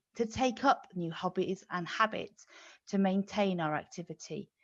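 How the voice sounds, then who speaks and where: This is a normal speaking voice from a woman of medium pitch. She talks at a moderate pace with ordinary pitch variation. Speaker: physiotherapist. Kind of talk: medical webinar explanation.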